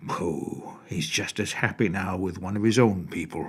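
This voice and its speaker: Using a put-on character voice, a man speaks at a moderate pace with a very deep, low pitch. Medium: read story. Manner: blunt, nosy.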